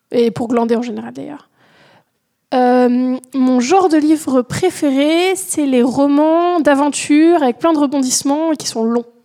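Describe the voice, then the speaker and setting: A woman speaks in a high pitch with a dark, mellow tone. Her pace is fairly slow, with ordinary pitch variation. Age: 20s. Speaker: doctoral student. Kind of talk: recorded listener testimony.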